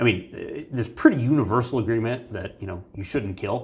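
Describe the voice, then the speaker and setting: A man with an American accent talks at a fairly quick pace in a somewhat breathy voice, at medium pitch with ordinary pitch variation. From Virginia, US. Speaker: human factors researcher. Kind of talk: interview.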